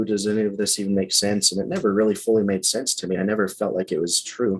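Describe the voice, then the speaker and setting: With music playing in the background, a man speaks in a fairly low voice with a Western US accent. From Utah. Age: 30s. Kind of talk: interview answer.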